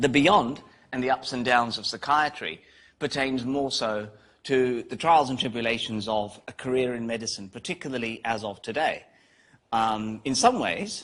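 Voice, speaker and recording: A man with a British accent, medium pitch and moderate pace against a quiet background. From UK. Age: 50s. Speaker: psychiatry professor. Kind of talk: guest lecture.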